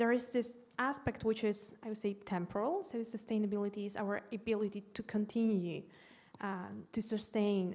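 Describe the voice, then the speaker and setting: With a Polish accent, a woman speaks at medium pitch and a moderate pace with fairly even intonation. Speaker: educator. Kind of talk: panel discussion.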